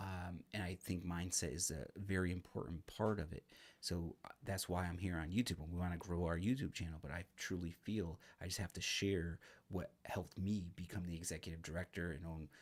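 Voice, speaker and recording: A man speaks at a fairly quick clip with a very deep, low voice. His intonation stays fairly even, and the recording is very clean with a silent background. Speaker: real estate investor and association director. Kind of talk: unscripted self-help talk to camera. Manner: halting, stumbling; casual, filler-heavy.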